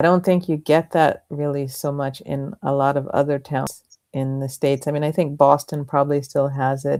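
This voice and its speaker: A woman with an American accent speaks at a moderate pace, her very deep, low pitch dark and mellow in tone, her intonation monotone and flat. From US, Philadelphia. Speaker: author. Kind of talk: casual chat.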